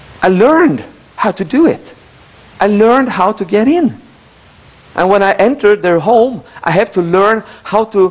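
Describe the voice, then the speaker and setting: Over noticeable background noise, a man with a high voice and lively intonation speaks with long, frequent pauses. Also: moderate pace. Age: 70s. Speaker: motivational speaker. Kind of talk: motivational speech. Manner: animated.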